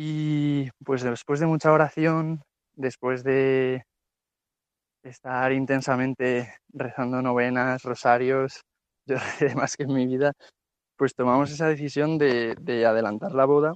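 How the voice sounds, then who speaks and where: A man at a medium pitch, very slow with long, frequent pauses and fairly even intonation, in a dry, close sound with no echo. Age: 20s. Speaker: guest, newlywed. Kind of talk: testimony.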